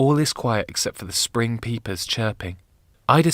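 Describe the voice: Plain reading aloud comes through with ordinary pitch variation.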